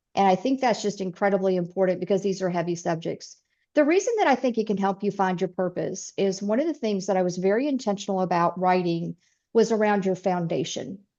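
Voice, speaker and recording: Very fast speech from a woman with a Southern US accent, a dark, mellow tone and ordinary pitch variation, over a quiet background. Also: medium pitch for a woman. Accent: full Southern. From US South, East Tennessee. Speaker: author and speaker. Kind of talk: interview.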